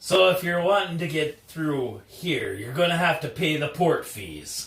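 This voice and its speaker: A man uses a put-on character voice, raised and projected, at a fairly high pitch and moderate pace. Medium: actual play. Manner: cocky, brusque.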